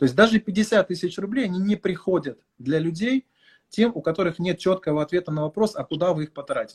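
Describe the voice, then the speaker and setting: A man's high-pitched voice at a fairly quick pace, with ordinary pitch variation and a dry, close sound with no echo. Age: 30s. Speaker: marketing consultant. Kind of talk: live stream talk.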